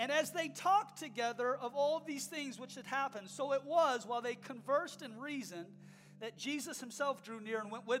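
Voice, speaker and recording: Someone speaks at a fairly quick pace with noticeable background noise behind them. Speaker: preacher. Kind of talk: sermon. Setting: church. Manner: impassioned, urgent, exhorting the congregation directly; rhetorical repetition, building to a rousing call to action.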